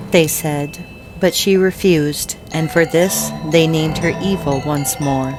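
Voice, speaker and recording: A woman's very deep, low voice at a fairly slow pace, with fairly even intonation and music in the background. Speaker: storyteller. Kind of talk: dark fairy tale narration.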